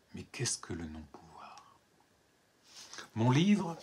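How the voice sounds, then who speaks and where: A man talks very slowly in a somewhat breathy voice. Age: 70s. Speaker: writer and poet. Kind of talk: book presentation monologue. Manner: hesitant, repeats words.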